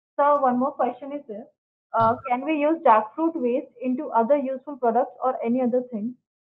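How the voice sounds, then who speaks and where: Her pitch is high and her intonation fairly even as the woman talks at a moderate pace. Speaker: webinar moderator. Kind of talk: formal speaker introductions. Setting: video call. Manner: formal. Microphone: video call.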